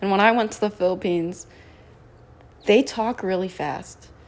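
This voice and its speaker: This is a normal speaking voice at a moderate pace, with ordinary pitch variation. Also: woman. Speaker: student club podcast co-host. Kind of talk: casual chat.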